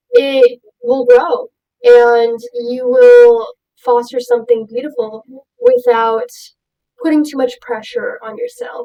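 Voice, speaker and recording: A woman with an American accent speaks very slowly in a high pitch, her dark, mellow tone delivered with monotone, flat intonation. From Houston, Texas. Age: young. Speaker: artist and clothing designer. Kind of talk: interview. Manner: many fillers (ums).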